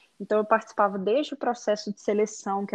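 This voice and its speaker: Her medium pitch and fairly even intonation mark a woman with an ordinary speaking voice. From Brazil, Belo Horizonte, Minas Gerais. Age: 30s. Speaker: digital influencer, former HR psychologist. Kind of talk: podcast interview.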